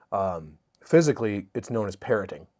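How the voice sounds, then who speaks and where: The speech is mumbled. The intonation stays lively throughout. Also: man. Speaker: comedian. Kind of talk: podcast interview. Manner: fast; mumbling.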